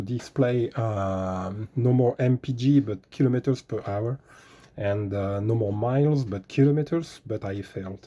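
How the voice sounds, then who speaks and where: A man with a French accent speaks fairly slowly in a dark, mellow tone. His pitch varies in an ordinary way over a quiet background. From France. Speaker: car DIY tutorial maker. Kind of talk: tutorial. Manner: hesitant, many fillers.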